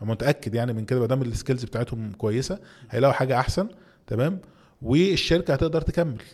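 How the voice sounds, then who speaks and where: With noticeable background noise behind him, a man in an Egyptian accent talks fairly quickly with ordinary pitch variation. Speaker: entrepreneur and CEO. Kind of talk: interview.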